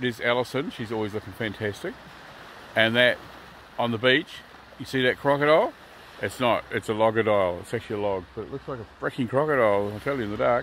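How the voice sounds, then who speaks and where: Speaking at a very fast pace with ordinary pitch variation, a man is heard in a dry sound with no echo and light background noise. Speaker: travel vlogger. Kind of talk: casual vlog chat. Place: beach. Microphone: phone near.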